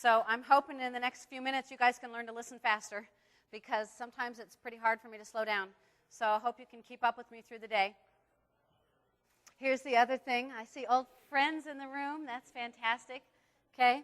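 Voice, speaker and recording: Animated and fairly quick, a woman speaks at a high pitch with long, frequent pauses and big swings in loudness, in a dry, close sound with no echo. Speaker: seminar instructor. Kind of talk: live seminar. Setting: stage with audience. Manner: fast.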